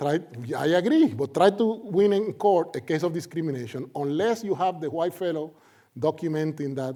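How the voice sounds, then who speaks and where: With a Puerto Rican accent, a man speaks at a moderate pace in a high voice with a dark, mellow tone and ordinary pitch variation. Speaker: sociology professor. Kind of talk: lecture. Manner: animated.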